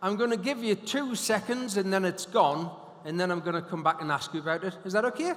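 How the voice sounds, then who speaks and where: A man with a Geordie accent talks at a fairly quick pace, high in pitch, with lively intonation. His tone is animated, and background noise is noticeable. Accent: Geordie (Newcastle). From northern England, Newcastle. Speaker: hypnotist and motivational speaker. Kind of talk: conference keynote talk. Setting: stage with audience.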